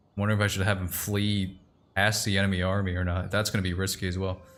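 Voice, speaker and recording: Fairly low in pitch, a man speaks very fast with fairly even intonation. Audible room echo surrounds him. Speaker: streamer. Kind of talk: casual chat while gaming. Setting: live stream.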